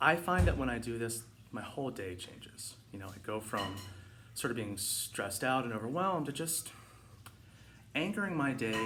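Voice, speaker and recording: With music in the background and audible room echo, a man speaks with lively intonation. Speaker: meditation and mindfulness vlogger. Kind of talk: casual instructional talk. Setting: home living room. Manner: fast; hesitant with fillers.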